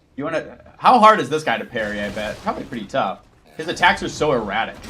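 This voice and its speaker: Over noticeable background noise, a man with an American accent talks at a very fast pace in an animated tone, his fairly high pitch making very wide swings and his loudness swinging widely too. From United States. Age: 30s. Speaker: gaming streamer. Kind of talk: live gameplay stream chat. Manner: casual, animated.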